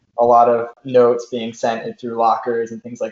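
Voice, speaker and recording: Here a man of medium pitch talks with an American accent. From US Northeast (Rhode Island / Massachusetts border). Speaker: professional runner. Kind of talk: casual chat.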